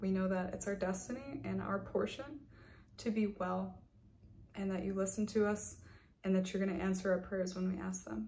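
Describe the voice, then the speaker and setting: With light background noise, a woman speaks at a moderate pace, leaving long, frequent pauses. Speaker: health and wellness coach and video creator. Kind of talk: fervent prayer, spoken intercession over viewers. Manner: earnest, commanding, declaring prayers with conviction; warm, pastoral. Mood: calm, earnest. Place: home room. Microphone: webcam.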